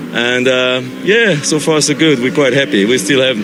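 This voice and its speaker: Against noticeable background noise and audible room echo, a man speaks at a medium pitch with ordinary pitch variation. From France. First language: French. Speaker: amateur racing driver. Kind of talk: interview. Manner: halting, many fillers.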